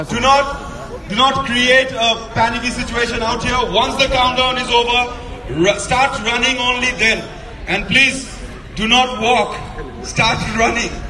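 Over noticeable background noise, a man speaks at a moderate pace in a raised, projected voice with monotone, flat intonation. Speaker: event announcer. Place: street.

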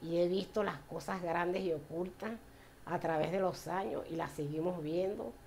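A woman speaks at a moderate pace in a fairly low voice with fairly even intonation. Her loudness stays very even over light background noise. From Venezuela, Puerto La Cruz; Venezuela. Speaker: church member. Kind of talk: personal faith testimony. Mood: warm, grateful, smiling. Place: home room. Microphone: camera far.

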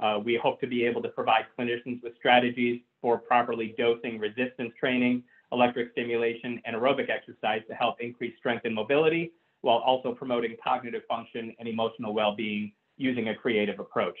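Over a quiet background, a man talks at a very fast pace. His intonation stays monotone and flat. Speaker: physical therapist. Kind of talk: webinar presentation. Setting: phone line into webinar. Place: home room. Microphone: webcam.

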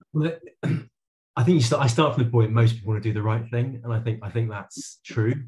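Over a quiet background, a man speaks at a medium pitch. His voice is somewhat breathy, with ordinary pitch variation. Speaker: local government climate official. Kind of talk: webinar presentation. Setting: video call.

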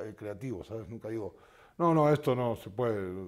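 A man with a dark, mellow tone speaks with lively intonation. The background is quiet. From Argentina. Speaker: musician; guest. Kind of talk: interview. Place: studio. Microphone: lapel.

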